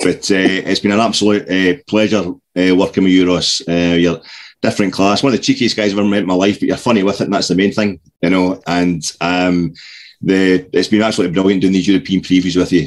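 Speaking at a very fast pace, a man with a Scottish accent has a very deep, low voice. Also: fairly even intonation, very even loudness. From Scotland. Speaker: podcast co-host. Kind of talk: casual chat. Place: home room. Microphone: video call.

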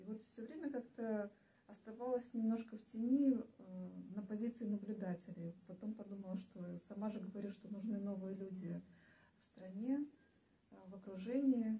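Her pitch fairly high, a woman speaks at a moderate pace with fairly even intonation and long, frequent pauses. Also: big swings in loudness. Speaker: party candidate, branding specialist. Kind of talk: live stream discussion. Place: meeting room. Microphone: camera far.

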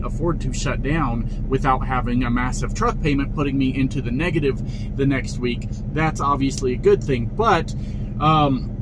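A man talks with ordinary pitch variation. Noticeable background noise runs underneath. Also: moderate pace. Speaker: truck driver vlogger. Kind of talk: casual vlog chat. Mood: exasperated, mocking. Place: car. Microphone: phone near.

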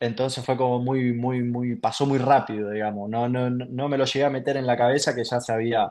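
In a Rioplatense accent, a man speaks at a fairly quick pace with monotone, flat intonation. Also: quiet background. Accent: Argentine Spanish (rioplatense). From Argentina. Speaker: professional footballer; guest. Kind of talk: interview. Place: home room. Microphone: video call.

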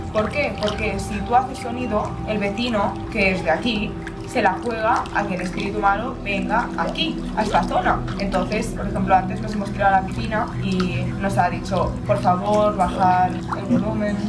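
A woman speaks at a moderate pace. Loud music plays behind her. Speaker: travel vlogger. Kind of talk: casual vlog chat. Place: garden. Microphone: camera far.

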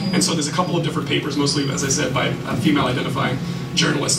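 Loud background noise fills the recording. Over it, a man with a fairly high pitch speaks in a flat monotone. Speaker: social worker and spoken word poet. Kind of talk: live lecture performance to an audience. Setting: live venue with audience. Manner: casual, conversational with fillers. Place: stage.

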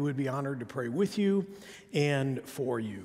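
The voice belongs to a man. Behind him, things stay quiet. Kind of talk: church announcements. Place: church.

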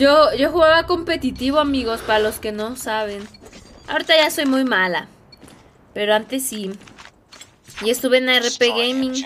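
A woman's high-pitched, animated voice at a moderate pace, with lively intonation, long and frequent pauses, and light background noise. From Mexico, State of Mexico (Edomex). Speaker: gaming streamer. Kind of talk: live gaming stream chat. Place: home room.

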